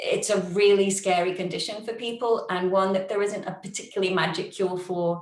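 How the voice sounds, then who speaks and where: A woman with a British accent speaks in a room with audible echo. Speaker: yoga teacher with long covid. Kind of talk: online forum talk, sharing personal experience. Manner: chatty, fast.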